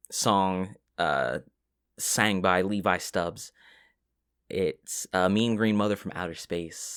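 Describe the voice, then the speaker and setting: Soft-spoken and very deep in pitch, a man talks with ordinary pitch variation in a very clean recording with a silent background. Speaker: ASMR relaxation content creator. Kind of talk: ASMR soft-spoken ramble. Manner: soft-spoken, casual, rambling.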